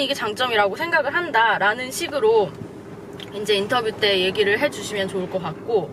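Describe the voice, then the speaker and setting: A woman's voice with very wide pitch swings, over noticeable background noise. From South Korea. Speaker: career advice vlogger. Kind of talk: vlog advice talk.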